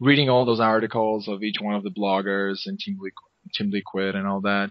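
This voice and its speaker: In a monotone, flat delivery, a man speaks at a fairly low pitch. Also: fairly quick pace. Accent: Spanish. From Argentina, Buenos Aires. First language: Spanish. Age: 20s. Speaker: esports commentator and podcaster. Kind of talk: interview.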